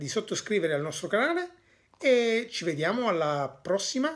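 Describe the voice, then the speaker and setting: The intonation of this man is lively. The background is quiet. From Italy. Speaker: Italian teacher and father. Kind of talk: language lesson. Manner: hesitant, with many fillers. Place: home room. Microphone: phone near.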